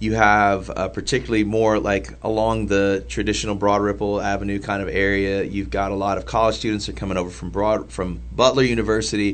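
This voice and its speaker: A fairly low-pitched male voice in an American accent, with audible room echo. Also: lively intonation, fairly quick pace, hardly any pauses. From downtown Indianapolis, Indiana. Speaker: church planter. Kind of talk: casual chat.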